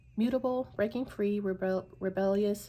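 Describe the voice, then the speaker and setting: A woman of medium pitch speaks in a somewhat breathy voice at a fairly slow pace. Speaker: tarot reader. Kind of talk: tarot reading. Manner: halting.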